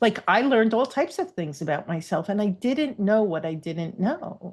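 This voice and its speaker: This woman's voice is somewhat breathy, at a medium pitch. It moves through very wide pitch swings. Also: moderate pace. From New York. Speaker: divorce coach. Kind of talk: casual chat.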